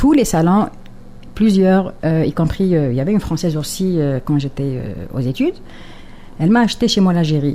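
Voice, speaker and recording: Fairly low-pitched woman with lively intonation at a moderate pace, with long, frequent pauses. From Algeria, Kabyle. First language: Kabyle (speaking French). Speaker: poet and writer. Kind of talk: radio interview. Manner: hesitant, many fillers and repetitions.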